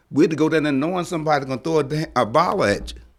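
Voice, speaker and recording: A man with vocal fry and fairly high pitch speaks at a very fast pace with ordinary pitch variation. The recording is very clean, with a silent background. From Virginia, Nottoway County. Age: 70s. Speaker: activist speaking at council meeting. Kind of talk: public comment. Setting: town council meeting.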